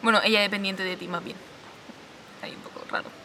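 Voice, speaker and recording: A woman speaks over noticeable background noise. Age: 20s. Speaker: video essayist. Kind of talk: scripted narration.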